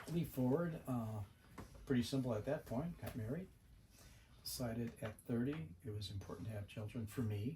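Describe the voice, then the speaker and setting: In an American accent, a somewhat breathy voice with a dark, mellow tone moves at a moderate pace with ordinary pitch variation and long, frequent pauses. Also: man, medium pitch for a man. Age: 70s. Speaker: Vietnam veteran and retired home builder. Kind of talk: casual interview.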